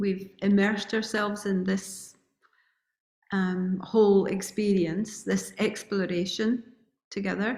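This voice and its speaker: A somewhat breathy woman's voice, monotone and flat, at a very slow pace. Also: medium pitch for a woman. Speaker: retreat organizer. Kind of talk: welcome address.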